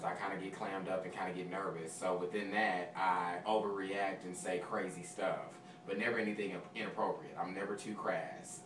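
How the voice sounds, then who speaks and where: A man talks at a moderate pace with a fairly low pitch. Noticeable background noise and an audible room echo are present. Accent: American. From Texas, South Dallas. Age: 20s. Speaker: audition contestant, server and substitute teacher. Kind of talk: audition interview.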